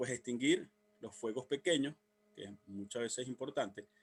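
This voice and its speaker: A man's voice with very wide pitch swings. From Venezuela. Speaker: civil protection instructor. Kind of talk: workshop lecture. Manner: fast; halting.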